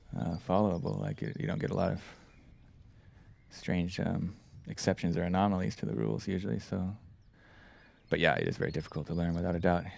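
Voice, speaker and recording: A man speaks at a very fast pace, broken by long, frequent pauses. His very deep, low voice carries vocal fry and swings very widely in pitch. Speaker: disc golf commentator. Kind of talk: live commentary.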